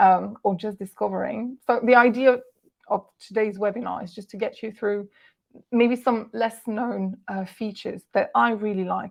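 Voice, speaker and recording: Speaking at a moderate pace, a woman talks with a Walloon accent. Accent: French-speaking Belgian. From Belgium, French-speaking. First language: French. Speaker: translator and software ambassador. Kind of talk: webinar presentation. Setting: online webinar. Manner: hesitant with frequent fillers.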